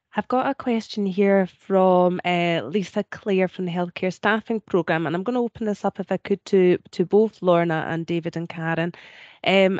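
A woman with a Scottish accent at a moderate pace, ordinary pitch variation, dry sound with no echo, and a quiet background. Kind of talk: moderating Q&A. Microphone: video call.

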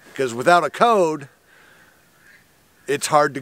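A man speaks at a fairly slow pace, the sound dry with no echo. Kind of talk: casual vlog chat. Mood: mildly frustrated storytelling. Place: open country.

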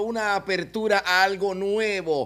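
Animated in tone, a man talks with a bright, sharp sound and ordinary pitch variation. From Venezuela, Maracaibo (Zulia); Zulia, Venezuela. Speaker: web show host. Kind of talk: comedic interview chat. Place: studio. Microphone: studio mic.

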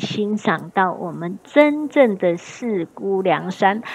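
Animated in tone, a woman with a medium-pitched voice speaks over noticeable background noise. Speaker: travel tour guide and video host. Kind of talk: on-location travel commentary. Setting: outdoors on a tour. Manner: animated, chatty with frequent particles.

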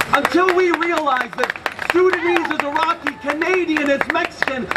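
Ordinary pitch variation from a man, set against noticeable background noise. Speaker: spoken word poet. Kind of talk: spoken word poetry performed at a protest, rhythmic and rhyming with crowd call-outs. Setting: outdoors at a rally with crowd. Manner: animated, forceful, rhythmic delivery; impassioned, fast-paced with punchy rhymes. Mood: angry, defiant. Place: street. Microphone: handheld.

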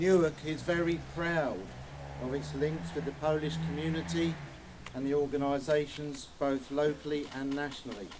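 A man with an English accent speaks at a moderate pace with ordinary pitch variation against noticeable background noise. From England. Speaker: town mayor. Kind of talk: ceremonial speech. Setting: outdoors. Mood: solemn, respectful. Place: open country. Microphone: handheld.

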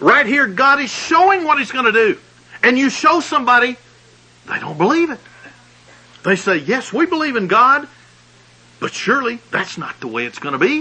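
A man with a Southern US accent and an extremely high pitch, very wide pitch swings, a moderate pace broken by long, frequent pauses, and noticeable background noise. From US South, Alabama. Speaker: pastor. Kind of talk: sermon.

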